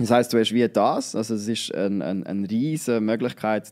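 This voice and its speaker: Over a quiet background, a man speaks with a fairly low pitch. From Switzerland, Nidwalden; Switzerland. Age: 20s. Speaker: student and social media creator; social media creator. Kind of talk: casual interview. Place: studio. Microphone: studio mic.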